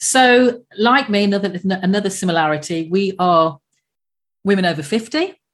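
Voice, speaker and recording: Using a normal speaking voice, a woman talks at medium pitch and a moderate pace with lively intonation and very even loudness. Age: 50s. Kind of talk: scripted podcast intro and outro; casual interview chat.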